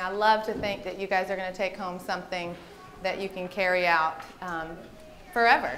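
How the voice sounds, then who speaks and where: A woman with a Southern US accent talks at a fairly quick pace, her pitch varying in an ordinary way. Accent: Southern American. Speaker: registered dietitian and aerobics instructor. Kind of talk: health presentation to a group. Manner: fast; animated.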